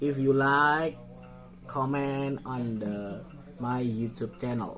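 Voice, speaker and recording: A man with a medium pitch speaks very slowly over background music, with audible room echo. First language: not English. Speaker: clothing designer. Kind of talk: design showcase tutorial. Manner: halting; animated.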